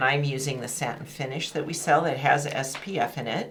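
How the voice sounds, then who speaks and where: Speaking at a fairly quick pace, a woman with a very deep, low pitch is heard amid noticeable background noise and audible room echo. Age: 60s. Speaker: beauty and style channel host. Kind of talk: makeup tutorial.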